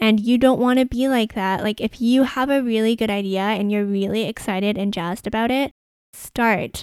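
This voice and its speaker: Speaking at a moderate pace with a Canadian accent, a woman has a plain, everyday voice and fairly even intonation. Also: fairly high pitch for a woman, very clean recording, silent background. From Canada, Vancouver. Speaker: podcast host, sustainable fashion consultant. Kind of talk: solo podcast monologue.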